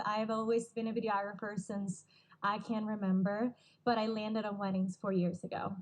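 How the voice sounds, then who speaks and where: Speaking at a fairly quick pace, a woman with a Puerto Rican accent has a medium pitch and a somewhat breathy voice. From Puerto Rico. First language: Spanish. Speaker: wedding videographer. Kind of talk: casual interview.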